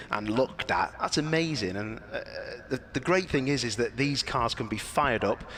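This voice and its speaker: A man of medium pitch talks at a moderate pace with ordinary pitch variation over noticeable background noise. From northern England, near Liverpool. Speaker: motorsport commentator. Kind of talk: live event commentary, casual chat. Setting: live stream at a race track. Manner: animated.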